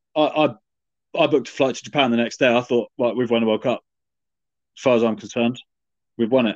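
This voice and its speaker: Speaking at a very fast pace yet with long, frequent pauses, a man is heard in a dry, close sound with no echo. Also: medium pitch for a man, fairly even intonation. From England. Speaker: rugby fan podcast co-host. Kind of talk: casual chat.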